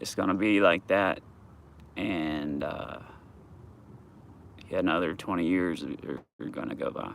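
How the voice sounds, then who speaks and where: Mumbling in a Southern US accent, a man speaks fairly slowly with long, frequent pauses, his very deep, low voice fairly even in intonation. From US South, Georgia. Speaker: vlogger. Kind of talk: casual live vlog. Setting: outdoors at dog park. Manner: halting.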